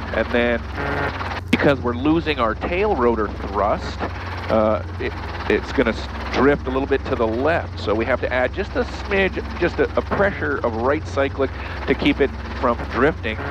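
A man at a moderate pace with very wide pitch swings, dry sound with no echo, and noticeable background noise. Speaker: flight instructor. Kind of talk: instruction. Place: plane. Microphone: headset.

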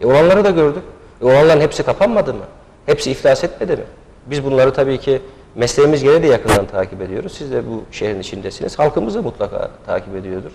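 The speech comes at a very fast pace. Light background noise can be heard. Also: man, big swings in loudness. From Niksar, Tokat, Turkey; Tokat, Turkey. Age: 30s. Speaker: candidate, lawyer. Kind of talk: TV interview. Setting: TV studio. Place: studio. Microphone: lapel.

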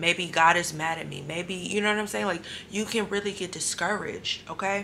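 Soft-spoken, a woman talks at a moderate pace with ordinary pitch variation. Her tone is bright and sharp. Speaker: faith vlogger. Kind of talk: testimony video. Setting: hotel room at night. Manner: soft-spoken, low.

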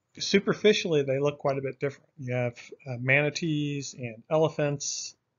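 A man talks here. His pace is fairly quick. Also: quiet background. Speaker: course instructor. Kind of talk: lecture. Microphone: webcam.

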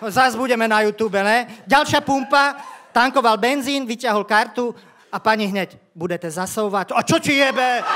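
Over crowd noise in the background, a man uses a raised, projected voice at an extremely high pitch with ordinary pitch variation. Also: moderate pace. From Slovakia. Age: 50s. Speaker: stand-up comedian. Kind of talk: stand-up. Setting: stage with audience. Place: stage. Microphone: handheld.

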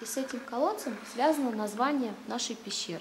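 Against noticeable background noise, a woman with a high-pitched voice speaks at a moderate pace. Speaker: cave tour guide. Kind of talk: guided tour explanation. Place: tunnel cave.

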